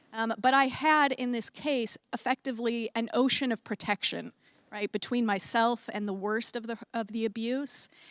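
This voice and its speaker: A woman with an American accent speaks at a moderate pace and a fairly high pitch, her intonation fairly even. The recording is very clean, with a silent background and a dry, close sound with no echo. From United States. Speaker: academic researcher. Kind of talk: panel talk. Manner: many filler words, hesitant.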